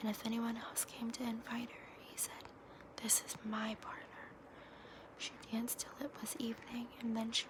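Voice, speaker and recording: A woman whispers at a moderate pace. Noticeable background noise sits behind her. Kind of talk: fairy tale reading. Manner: soft-spoken, whispered.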